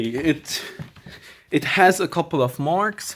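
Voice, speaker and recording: The pace is very slow. The recording is very clean, with a silent background. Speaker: video creator, collector. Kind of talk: unboxing video. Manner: hesitant, with fillers.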